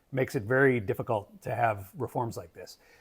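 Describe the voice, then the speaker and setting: At a fairly quick pace, a man with a medium pitch and ordinary pitch variation talks in a plain, everyday voice. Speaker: political commentator. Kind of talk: monologue commentary.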